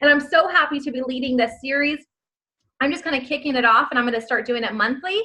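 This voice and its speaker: A raised, projected voice with a bright, sharp tone, animated and very fast. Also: woman, high pitch for a woman, ordinary pitch variation. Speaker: network marketing team leader. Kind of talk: motivational training call.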